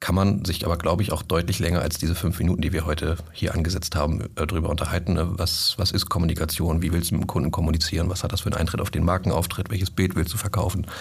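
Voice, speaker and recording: With hardly any pauses, a man talks at a very fast pace in a very deep, low pitch and a monotone, flat intonation. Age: 30s. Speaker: sales manager. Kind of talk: casual chat.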